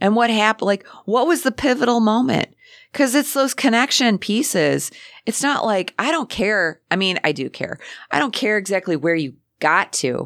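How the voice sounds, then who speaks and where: Vocal fry runs through a woman's fairly high voice. She moves through very wide pitch swings at a moderate pace. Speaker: artist and radio host. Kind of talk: casual interview chat. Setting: radio studio.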